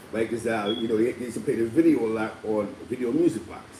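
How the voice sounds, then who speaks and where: Noticeable background noise surrounds a man who rattles off his words at a very fast pace. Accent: New York. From New York City (Spanish Harlem), Puerto Rican. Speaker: live stream host. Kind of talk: casual live stream talk. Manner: stammering repetitions.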